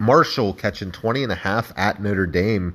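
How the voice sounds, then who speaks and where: A man uses a normal speaking voice, fairly low in pitch, with ordinary pitch variation, talking at a moderate pace. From Ohio. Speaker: sports betting podcast host. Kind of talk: casual solo sports commentary. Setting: solo podcast recording.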